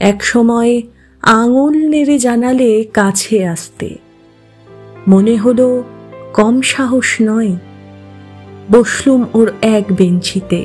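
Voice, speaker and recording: A woman's voice is fairly high in pitch. Music plays behind her. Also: ordinary pitch variation. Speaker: poetry reciter. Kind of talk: poetry reading.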